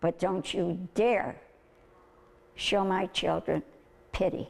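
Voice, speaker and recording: A woman at medium pitch with an American accent, vocal fry and a very slow pace. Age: 80s+. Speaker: special education teacher. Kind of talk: interview answer.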